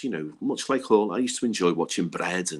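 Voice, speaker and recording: A man speaks with a Liverpool accent. His pace is moderate. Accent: Scouse. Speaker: Hillsborough disaster survivor. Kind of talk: podcast interview.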